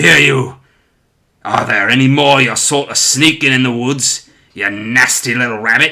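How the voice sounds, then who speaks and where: A growling, put-on character voice at a moderate pace with fairly even intonation. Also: man, medium pitch for a man. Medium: read story.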